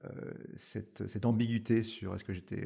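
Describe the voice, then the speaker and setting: Speaking at a fairly quick pace, a man with a dark, mellow tone keeps his intonation fairly even. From France. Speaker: startup founder. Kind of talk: podcast interview. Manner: hesitant, many fillers.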